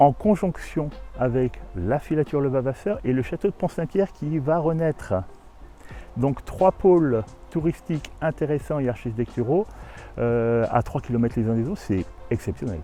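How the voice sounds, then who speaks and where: The speaker keeps a moderate pace and lively intonation, with long, frequent pauses. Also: man, fairly high pitch for a man. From Burgundy, France. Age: 60s. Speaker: abbey owner. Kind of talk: interview.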